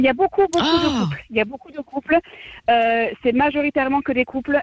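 A woman's high voice at a fairly quick pace, with ordinary pitch variation and a dry, close sound with no echo. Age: 20s. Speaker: caller. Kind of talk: radio call-in chat.

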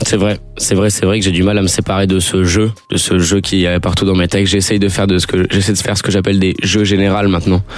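Very deep, low pitch from a man at a very fast pace, monotone and flat in intonation, with very even loudness and music in the background. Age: 20s. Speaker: rapper. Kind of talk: radio interview.

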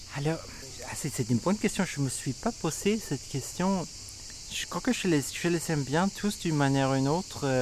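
Lively intonation from a man with a fairly high pitch, at a moderate pace. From Sweden. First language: Swedish (speaking French). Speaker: singer-songwriter and music producer. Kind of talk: interview. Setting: festival, outdoors with cicadas. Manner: halting, many repetitions and hesitations.

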